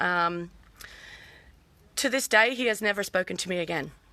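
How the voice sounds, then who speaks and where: Loud and bright with a sharp tone, a woman speaks with an Australian accent and ordinary pitch variation. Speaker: vlogger. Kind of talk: personal testimony live stream. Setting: outdoors in backyard.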